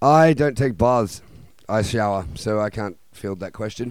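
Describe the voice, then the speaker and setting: Moderate pace and lively intonation from a man with an Australian accent. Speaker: punk band member. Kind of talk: casual radio interview. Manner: animated.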